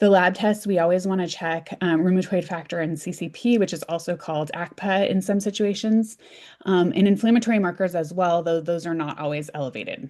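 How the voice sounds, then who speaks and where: A woman with a fairly low pitch and a dark, mellow tone speaks at a fairly quick pace. Her pitch varies in an ordinary way against a quiet background. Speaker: physician, rheumatology lecturer. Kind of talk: lecture. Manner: fast; halting with many fillers.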